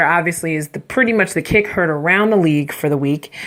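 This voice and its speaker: Over noticeable background noise, a woman talks very fast in an animated tone. Her pitch is fairly low, and her intonation is lively. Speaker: sports podcast host. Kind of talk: casual sports commentary podcast.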